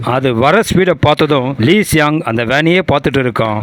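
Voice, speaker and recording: Noticeable background noise underlies speech with ordinary pitch variation. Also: man. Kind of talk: movie recap narration. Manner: dramatic, suspenseful.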